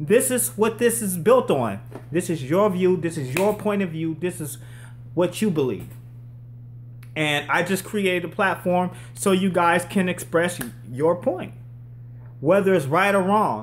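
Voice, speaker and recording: A man speaks loudly and at a fairly slow pace in a high voice, with an animated tone and lively intonation. Long, frequent pauses come often. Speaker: live stream host. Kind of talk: live call-in stream.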